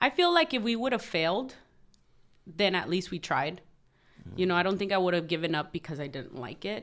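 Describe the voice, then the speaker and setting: With a Southern California accent, a woman talks with lively intonation and long, frequent pauses. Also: medium pitch for a woman, very clean recording, silent background. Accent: Southern California American English. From Los Angeles area, California (Compton). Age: 30s. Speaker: trucking company co-owner. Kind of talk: podcast interview.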